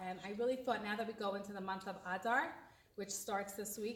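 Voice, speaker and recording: Speaking with an American accent in a normal speaking voice, a woman of medium pitch moves at a fairly quick pace with fairly even intonation. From USA. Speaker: event organizer introducing a comedian. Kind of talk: introduction speech.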